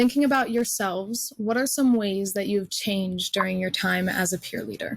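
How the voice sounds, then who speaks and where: A somewhat breathy woman's voice of medium pitch at a moderate pace. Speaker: panel moderator, college student. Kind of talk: panel moderation.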